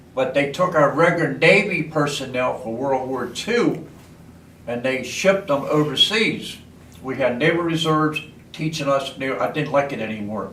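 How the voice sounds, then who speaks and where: A man with an American accent at fairly high pitch, with ordinary pitch variation and a moderate pace, plus noticeable background noise and audible room echo. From Baltimore, Maryland, US. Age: 80s+. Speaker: war veteran. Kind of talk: oral history interview.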